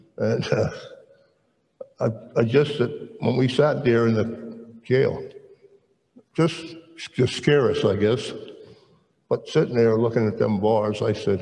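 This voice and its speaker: This man has an American accent and a medium pitch. He talks at a fairly slow pace, with audible room echo. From South Jersey (Camden area), US. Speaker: retired military veteran and churchman. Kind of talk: testimony interview. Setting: stage with audience.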